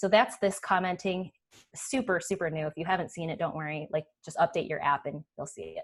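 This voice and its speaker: With lively intonation and big swings in loudness, a woman of medium pitch speaks at a fairly quick pace. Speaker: developer relations director giving product demo. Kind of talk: live webinar demo. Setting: online webinar, screen share. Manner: fast; casual, enthusiastic.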